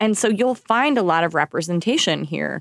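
A normal speaking voice from a woman with an American accent, lively intonation and a moderate pace, the sound dry and close with no echo on a very clean recording with a silent background. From Oklahoma. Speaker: jazz singer, actress and voiceover artist. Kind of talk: casual chat.

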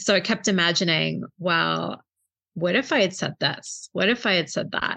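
A woman speaks at a fairly low pitch with a bright, sharp tone. Vocal fry runs through her voice against a quiet background. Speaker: librarian and book club founder. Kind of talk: casual interview chat.

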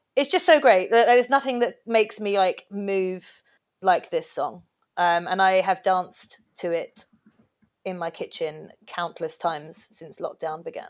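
A woman with an English accent at medium pitch and a fairly slow pace, with lively intonation and big swings in loudness, in a very clean recording with a silent background. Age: 30s. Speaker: singer and podcast guest. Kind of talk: casual chat. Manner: animated.

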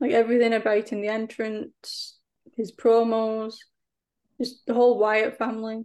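Speech with an English accent comes at a fairly slow pace over a quiet background. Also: woman. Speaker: wrestling podcast guest. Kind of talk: casual chat.

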